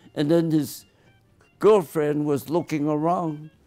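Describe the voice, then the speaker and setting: A man's fairly slow speech with music in the background. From US West. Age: 90s. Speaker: retired optometrist. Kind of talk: casual chat.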